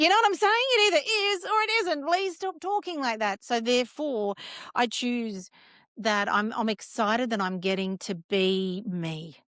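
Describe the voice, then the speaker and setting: Loud and energetic, a woman with an Australian accent speaks at a moderate pace in a high pitch, her voice making very wide pitch swings. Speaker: cancer survivor and wellness founder. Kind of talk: podcast interview. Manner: loud, energetic.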